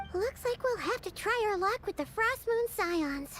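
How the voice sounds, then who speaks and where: Clear music plays in the background as a put-on character voice speaks at an extremely high pitch and a moderate pace. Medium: video game. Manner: casual, friendly.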